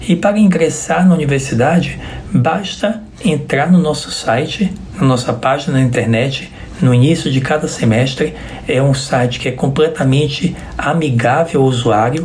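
A man with a fairly high pitch speaks at a moderate pace, his loudness very even and his pitch varying in an ordinary way, with noticeable background noise and audible room echo. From Bahia, Brazil (Salvador). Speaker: physician. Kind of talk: interview.

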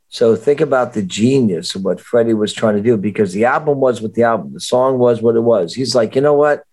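A man with an American accent in an ordinary speaking voice, medium-pitched with ordinary pitch variation, at a fairly quick pace with hardly any pauses. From Miami Beach, Florida (early years New Jersey). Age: 60s. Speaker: rock singer. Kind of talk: casual chat.

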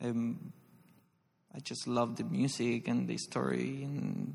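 A man with a Spanish accent. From Argentina, Santa Fe province. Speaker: ballet dancer. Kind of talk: live interview before audience. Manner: halting.

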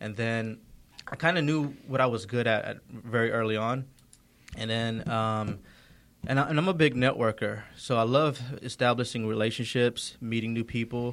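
A man with an American accent speaks at a moderate pace. He has a normal speaking voice at medium pitch. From Georgia, US. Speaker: entrepreneur. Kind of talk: casual interview. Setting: studio.

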